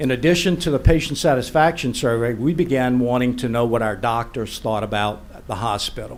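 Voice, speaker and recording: Audible room echo around a man's voice of medium pitch. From Louisiana, New Iberia. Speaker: hospital board applicant. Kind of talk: public comment at council meeting. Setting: parish council meeting.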